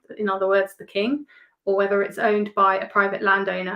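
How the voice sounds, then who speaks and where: A woman's medium-pitched voice with an English accent, at a very fast pace. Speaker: metal detectorist. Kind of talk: casual interview chat.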